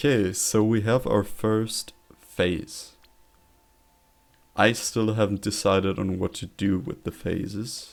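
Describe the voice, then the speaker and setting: A man speaks very slowly, with long, frequent pauses, in a German accent. His pitch is fairly low and his intonation fairly even. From Germany. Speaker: streamer. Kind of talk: casual live stream chat. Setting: live stream.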